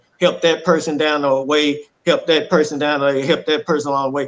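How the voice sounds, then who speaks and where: Speaking with a Southern US accent, a man uses a fairly high pitch. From Texas (Dallas). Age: 40s. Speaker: domestic violence survivor. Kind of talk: testimony. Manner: animated.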